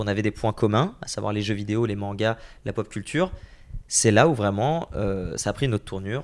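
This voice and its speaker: A man speaks with a fairly low pitch. He keeps a moderate pace and ordinary pitch variation. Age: 20s. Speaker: entrepreneur and content creator; content creator. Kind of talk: interview. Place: home room. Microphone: handheld.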